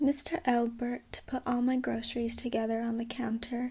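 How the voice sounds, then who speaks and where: A soft-spoken woman with a fairly high pitch. Her intonation is monotone and flat. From Taiwan. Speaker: freelance voiceover artist. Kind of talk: ASMR audiobook reading. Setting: close microphone.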